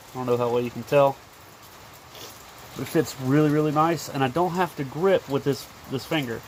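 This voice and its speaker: A man talks at a moderate pace with a medium pitch. There is noticeable background noise. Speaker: DIY maker / outdoors channel host. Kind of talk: casual tutorial. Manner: animated.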